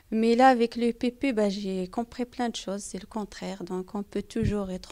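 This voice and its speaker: Fairly high in pitch, a woman speaks with a non-native accent and fairly even intonation. The recording is very clean, with a silent background. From outside France. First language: not French (speaking French). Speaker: parent in a community research group. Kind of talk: interview. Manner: halting, many hesitations.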